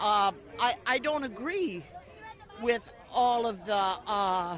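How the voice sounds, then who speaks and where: Crowd noise fills the background as a woman speaks at a very slow pace. Her fairly high voice has lively intonation. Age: 70s. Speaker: protester at a political rally. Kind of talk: street interview. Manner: halting, many repetitions.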